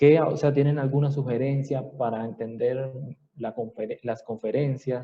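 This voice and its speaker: He talks at a fairly slow pace. His intonation is monotone and flat. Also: medium pitch for a man. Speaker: anatomy professor. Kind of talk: lecture.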